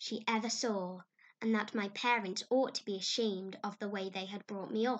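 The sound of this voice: Unforced voice reading text aloud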